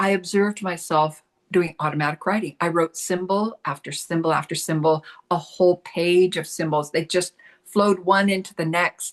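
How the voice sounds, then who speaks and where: A woman with an American accent and an unremarkable speaking voice, fairly low in pitch, at a moderate pace, in a dry, close sound with no echo and a quiet background. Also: fairly even intonation. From US Pacific Northwest. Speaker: spiritual channel and artist. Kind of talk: interview storytelling.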